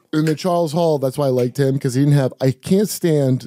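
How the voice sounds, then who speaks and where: Against a quiet background, a man with a dark, mellow tone and fairly high pitch speaks with ordinary pitch variation in a dry sound with no echo. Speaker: comedian and podcast host; podcast host or guest. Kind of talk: casual chat. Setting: studio. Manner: profane, joking. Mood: annoyed, comedic. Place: studio. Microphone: studio mic.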